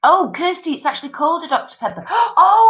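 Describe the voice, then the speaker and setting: Speaking in an English accent, a woman has a bright, sharp tone. She keeps a moderate pace. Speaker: live stream host. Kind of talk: casual chat. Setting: live stream. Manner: animated.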